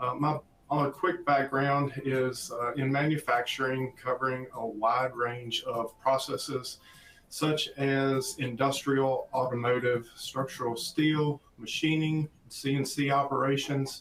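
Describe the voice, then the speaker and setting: A man with a slight Southern US accent speaks at a fairly high pitch and a fairly slow pace, with fairly even intonation and music in the background. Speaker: applications engineer presenter. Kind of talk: webinar presentation.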